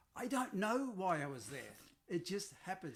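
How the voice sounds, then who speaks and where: The man talks at a fairly quick pace. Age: 70s. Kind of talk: interview answer.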